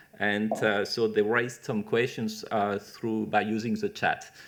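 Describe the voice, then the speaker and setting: A man with a French accent, speaking at a fairly slow pace. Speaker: webinar moderator, cancer researcher. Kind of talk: Q&A moderation. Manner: hesitant, many fillers.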